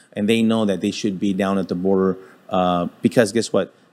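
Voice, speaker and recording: A man with an American accent speaks in a plain, everyday voice at a fairly low pitch. His intonation is fairly even, and the recording is very clean, with a silent background. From Texas (El Paso). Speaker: retired federal agent. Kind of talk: interview.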